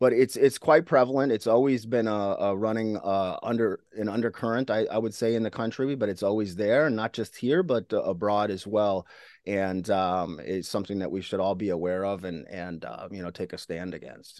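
This man has an American accent and a fairly low pitch, with ordinary pitch variation. He keeps a moderate pace with hardly any pauses against a quiet background. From rural Minnesota. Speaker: former extremist turned anti-extremism speaker. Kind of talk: interview. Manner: halting.

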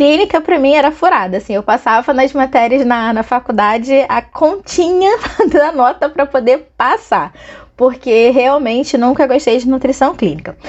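A woman speaks at a moderate pace in an animated tone. Her pitch is high. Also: lively intonation. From Angra dos Reis, Rio de Janeiro state, Brazil. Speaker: podcast host, nutritionist and business mentor. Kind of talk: personal storytelling monologue. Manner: animated, laughs often.

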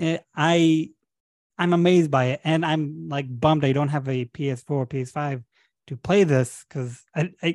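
Recorded dry and close with no echo against a quiet background, a man speaks fairly slowly at a fairly high pitch. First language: Hebrew. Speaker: podcast host. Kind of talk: casual chat.

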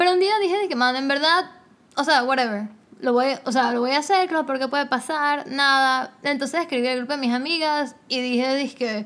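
Her pitch is high for a woman, with ordinary variation. She speaks at a fairly quick pace. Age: 20s. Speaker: podcast host. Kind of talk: casual chat. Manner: animated.

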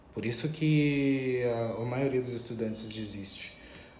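A man at medium pitch, fairly slow and fairly even in intonation, amid noticeable background noise and audible room echo. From Pelotas, southern Brazil. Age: 30s. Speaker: politician and anti-racism activist. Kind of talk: interview.

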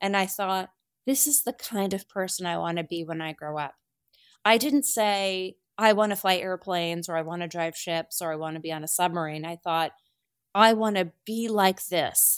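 A woman with an American accent speaks at a moderate pace and medium pitch with ordinary pitch variation. It is a plain, everyday voice. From rural New Jersey. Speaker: navy admiral. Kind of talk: interview.

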